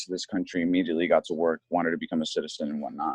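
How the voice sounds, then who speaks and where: A dry, close, echo-free sound with an American accent. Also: man. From Connecticut, US. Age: 20s. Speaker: ESL teacher. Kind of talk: casual interview. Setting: podcast recording.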